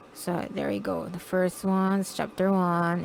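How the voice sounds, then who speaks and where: A woman with a non-native accent talks at a fairly slow pace in a medium pitch. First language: not English. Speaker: self-published romance author. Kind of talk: casual vlog talk about own books. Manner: halting, self-correcting.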